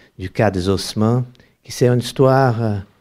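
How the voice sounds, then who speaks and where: A man with a Brazilian accent talks with fairly even intonation. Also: very clean recording, silent background. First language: Portuguese (speaking French). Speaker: anthropology professor, author. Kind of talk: panel discussion. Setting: bookshop event with audience. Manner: halting, repetitive stumbling.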